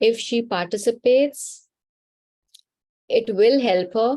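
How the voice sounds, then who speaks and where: A woman speaks very slowly in an Indian accent, with long, frequent pauses and very even loudness. Her fairly high voice has a dark, mellow tone, on a very clean recording with a silent background. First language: Hindi. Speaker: spiritual healer. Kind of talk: live Q&A session.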